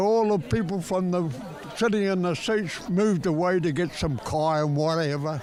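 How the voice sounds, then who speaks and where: Amid crowd noise and audible room echo, a man with a high pitch talks with ordinary pitch variation. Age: 80s+. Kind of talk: casual chat. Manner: animated.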